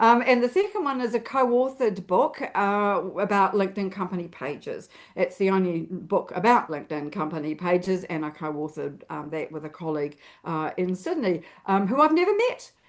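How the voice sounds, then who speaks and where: A woman with a New Zealand accent, medium-pitched, with lively intonation and a fairly quick pace, against a quiet background. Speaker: LinkedIn expert and author. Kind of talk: interview.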